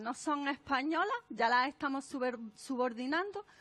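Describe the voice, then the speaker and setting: A woman with lively intonation. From Andalusia, Spain. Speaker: author and speaker on non-sexist language. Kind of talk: conference talk. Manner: animated.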